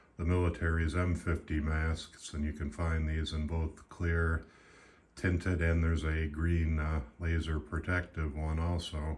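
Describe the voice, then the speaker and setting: A man speaks with a very deep, low pitch and a somewhat breathy voice. His intonation stays monotone and flat. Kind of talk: casual product review to camera.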